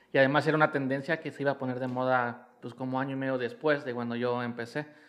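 Using a normal speaking voice, a man talks at a medium pitch and fairly quick pace with fairly even intonation. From Mexico City (Iztapalapa). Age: 30s. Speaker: fashion designer and stylist. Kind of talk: casual chat.

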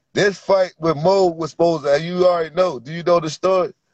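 Here a man talks at a moderate pace. His voice sits fairly high in pitch. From Virginia. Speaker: amateur fighter. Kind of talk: casual interview.

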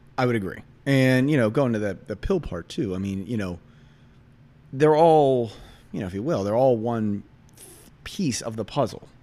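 A man speaks with lively intonation. He leaves long pauses, and often. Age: 40s. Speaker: financial representative. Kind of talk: casual interview. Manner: fast talker; high energy.

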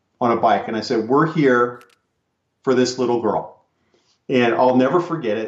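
With an American accent, a man of medium pitch talks at a moderate pace amid audible room echo. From California. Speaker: retired police officer and drug recognition trainer. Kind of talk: interview.

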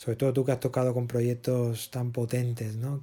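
A man's dark, mellow tone at a medium pitch and a fairly slow pace. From Spain (Barcelona). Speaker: podcast host, musician and producer. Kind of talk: interview.

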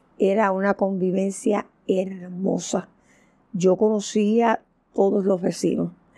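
A woman with a dark, mellow tone speaks very slowly in a monotone, flat intonation. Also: medium pitch for a woman. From Puerto Rico, Santurce (San Juan). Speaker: social worker. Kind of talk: oral history interview. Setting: at home.

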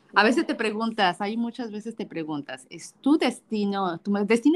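Using very wide pitch swings, a woman with a fairly high pitch speaks at a moderate pace. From Mexico. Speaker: podcast co-host. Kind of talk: casual chat.

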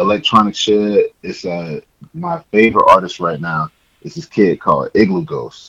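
This man talks at a fairly slow pace, his pitch sitting in the medium range. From US South, Georgia. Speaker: podcast co-host. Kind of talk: casual chat.

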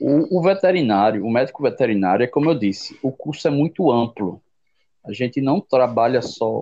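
Over music in the background, a man at medium pitch speaks with lively intonation. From Brazil, Jaboatão, Pernambuco. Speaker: veterinarian. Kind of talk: interview. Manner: halting.

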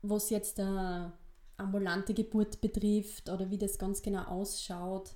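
Spoken in a Styrian accent at a fairly slow pace, the voice has a dark, mellow tone and a monotone, flat intonation. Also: woman, medium pitch for a woman. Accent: East Styrian dialect, noticeable. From Austria, eastern Styria (Weiz district). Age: 20s. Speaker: midwife and podcast co-host. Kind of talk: casual chat.

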